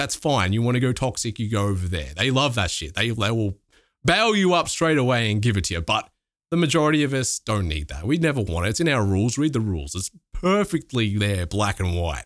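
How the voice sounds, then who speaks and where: A fairly quick-paced man with an Australian accent and very wide pitch swings. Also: medium pitch for a man. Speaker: streamer and YouTuber. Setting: remote call.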